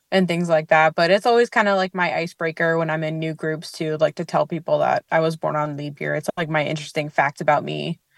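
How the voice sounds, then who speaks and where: A very fast, nearly pauseless woman's voice, very deep and low in pitch, with fairly even intonation. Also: very clean recording, silent background. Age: 30s. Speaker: leap day birthday interviewee. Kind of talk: casual interview.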